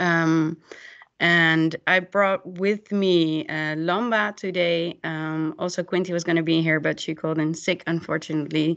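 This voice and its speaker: Monotone, flat intonation at a fairly slow pace over a quiet background. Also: woman, fairly low pitch for a woman. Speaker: youth worker; presenter. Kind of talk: webinar presentation. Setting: video call. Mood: friendly, slightly nervous. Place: home room. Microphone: video call.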